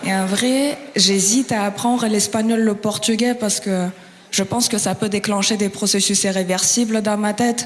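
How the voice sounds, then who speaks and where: With a Russian accent, the speaker keeps a moderate pace, very even loudness and fairly even intonation over noticeable background noise. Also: woman, fairly high pitch for a woman. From Kazakhstan. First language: Russian (speaking French). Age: 20s. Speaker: stand-up comedian. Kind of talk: stand-up.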